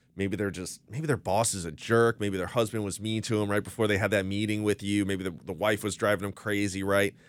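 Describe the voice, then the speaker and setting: An American accent marks this man's ordinary speaking voice. He talks at a fairly quick pace, with a fairly low pitch and fairly even intonation. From Florida. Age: 30s. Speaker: attorney. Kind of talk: casual chat. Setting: studio.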